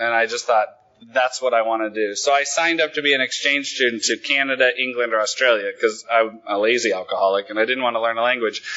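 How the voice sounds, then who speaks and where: Noticeable background noise runs behind a man with an American accent who speaks at a very fast pace. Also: medium pitch for a man, fairly even intonation. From Oregon, Willamette Valley. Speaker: main speaker at recovery conference. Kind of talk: recovery testimony talk.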